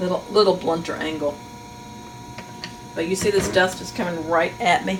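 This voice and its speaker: A woman talks at a moderate pace in a medium-pitched voice. Noticeable background noise and audible room echo surround her. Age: 60s. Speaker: master sharpener. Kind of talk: tutorial. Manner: casual, thinking aloud while working.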